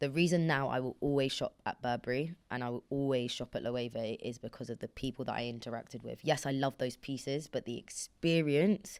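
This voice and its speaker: Animated in tone, a woman with a British accent talks at a very deep, low pitch and a fairly quick pace. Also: ordinary pitch variation. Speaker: podcast host. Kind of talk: casual chat.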